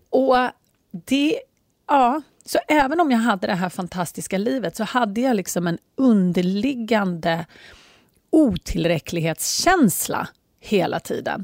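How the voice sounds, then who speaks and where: In a very clean recording with a silent background and a dry, close sound with no echo, a woman speaks fairly slowly in an animated tone, with very wide pitch swings and long, frequent pauses. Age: 40s. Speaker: life coach. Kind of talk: casual monologue.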